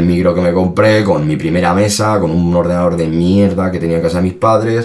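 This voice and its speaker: Over noticeable background noise and audible room echo, a man with a very deep, low pitch talks at a very fast pace with fairly even intonation. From Spain, Salamanca. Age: 30s. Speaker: rapper. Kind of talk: casual interview.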